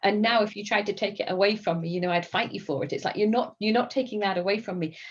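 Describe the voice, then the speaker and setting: Here a woman speaks with an English accent. Her intonation is fairly even. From England. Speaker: gym member, scientist. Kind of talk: casual interview chat.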